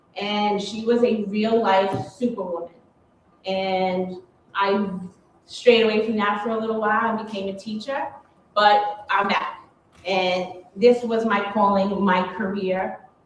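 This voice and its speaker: With a New York accent, a woman of medium pitch speaks at a fairly slow pace and fairly even intonation, with audible room echo. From New York, Queens. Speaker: police officer. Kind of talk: panel talk.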